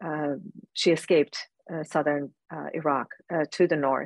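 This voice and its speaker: A woman speaks at a very deep, low pitch. She keeps a moderate pace with fairly even intonation. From Iran. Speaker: advocate for persecuted Christians, nonprofit founder. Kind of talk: interview answers, personal testimony.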